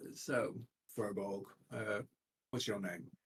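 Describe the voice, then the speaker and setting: In a put-on character voice, a man speaks raspy and fairly low-pitched with lively intonation. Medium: actual play. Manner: stern, inquisitive.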